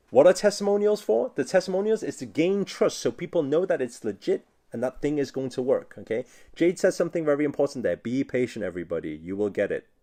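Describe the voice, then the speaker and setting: A man's fairly high-pitched voice with a dark, mellow tone, very wide pitch swings and a very fast pace over a quiet background. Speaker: online business coach. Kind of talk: live-streamed workshop lesson.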